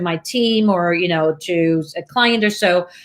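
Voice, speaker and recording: A woman with a slight Swiss accent speaks at a medium pitch. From Switzerland. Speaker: video marketing coach, show host. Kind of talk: casual chat. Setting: video call.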